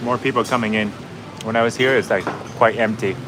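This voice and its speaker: Over noticeable background noise, a man with a slight Vietnamese accent talks at a medium pitch with fairly even intonation. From Canada. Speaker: travel vlogger. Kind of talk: live-stream chat with viewers. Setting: restaurant balcony. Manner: casual, with many fillers.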